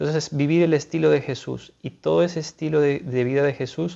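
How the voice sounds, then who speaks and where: Fairly quick speech from a man with a fairly high pitch and a dark, mellow tone, over a quiet background. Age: 30s. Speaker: seminarian, philosophy student; speaker. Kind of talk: religious talk / spiritual reflection; spiritual talk. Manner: halting, many fillers. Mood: calm, earnest.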